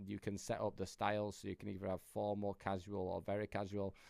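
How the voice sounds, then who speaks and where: A man with a Yorkshire accent at a very fast pace, fairly low in pitch, against a quiet background. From Yorkshire, northern England. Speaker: AI business coach. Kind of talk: tutorial. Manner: casual, filler-heavy.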